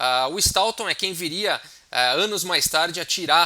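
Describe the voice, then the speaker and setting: High pitch from a man, bright and sharp in tone. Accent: Brazilian. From Brazil. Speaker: chess teacher. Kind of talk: tutorial. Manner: hesitant, many fillers.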